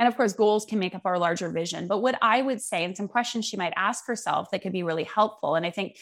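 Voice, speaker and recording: In a normal speaking voice, a woman with a Canadian accent talks at a fairly quick pace, medium pitch and lively intonation. The recording is very clean, with a silent background. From Vancouver, Canada. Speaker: clarity coach. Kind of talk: interview.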